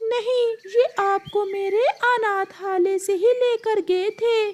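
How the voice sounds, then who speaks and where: The voice is a cartoonish character voice at an extremely high pitch. It moves at a fairly slow pace. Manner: calm, friendly.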